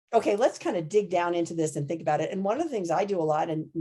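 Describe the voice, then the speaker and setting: A woman's dark, mellow voice at a fairly low pitch, very fast in pace, with ordinary pitch variation. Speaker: anesthesiology professor. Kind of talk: podcast interview. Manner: loud.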